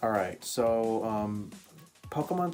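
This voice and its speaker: Music plays in the background as a man speaks. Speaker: gaming YouTuber. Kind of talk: casual reaction talk to camera. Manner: stuttering, hesitant.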